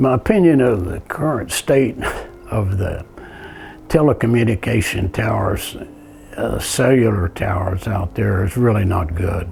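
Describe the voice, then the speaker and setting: Over noticeable background noise, a man with a fairly low pitch speaks at a moderate pace with ordinary pitch variation. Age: 80s+. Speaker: tower manufacturer and contractor. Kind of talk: interview testimony.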